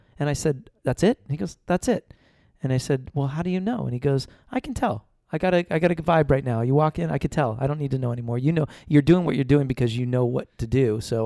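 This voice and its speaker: With an American accent and a dark, mellow tone, a man speaks at a very fast pace at medium pitch with ordinary pitch variation, the sound dry and close with no echo. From Los Angeles, US. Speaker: film assistant director. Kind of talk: interview.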